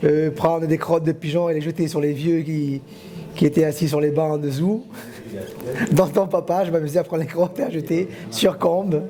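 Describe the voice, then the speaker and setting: Amid noticeable background noise, a man with a fairly high pitch talks at a moderate pace with fairly even intonation and long, frequent pauses. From Corsica. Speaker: villager. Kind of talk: reminiscing interview.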